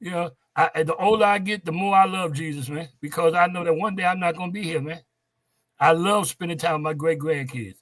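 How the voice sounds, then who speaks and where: The man has a high pitch and ordinary pitch variation. He moves along at a fairly quick pace. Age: old. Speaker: gospel quartet musician. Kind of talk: interview. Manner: animated.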